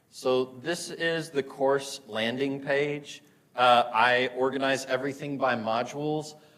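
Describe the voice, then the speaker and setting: A man with an American accent. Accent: Southern, sometimes comes out. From US South, Murfreesboro, Tennessee. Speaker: physics instructor. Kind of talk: lecture. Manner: casual, many fillers.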